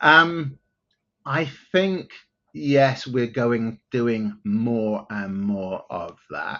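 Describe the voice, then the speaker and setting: A man with an English accent at a medium pitch, speaking at a very slow pace with lively intonation. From southern England (outside London). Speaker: tech company CEO. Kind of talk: interview.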